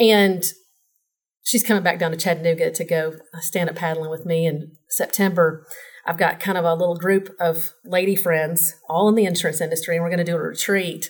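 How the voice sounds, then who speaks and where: In a Southern US accent, a woman talks fairly quickly at a fairly low pitch. Her delivery is monotone and flat, and somewhat breathy. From Tennessee, Nashville. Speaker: insurance professional. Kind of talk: casual interview.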